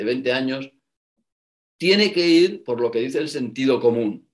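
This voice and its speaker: Ordinary pitch variation marks a man's voice, which sits at a medium pitch. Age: 50s. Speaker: former banker and business school professor. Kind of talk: interview.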